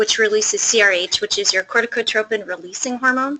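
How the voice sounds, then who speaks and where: Soft-spoken and fairly high-pitched, a woman talks at a fairly quick pace with ordinary pitch variation. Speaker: pediatric endocrinologist. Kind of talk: lecture. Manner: fast.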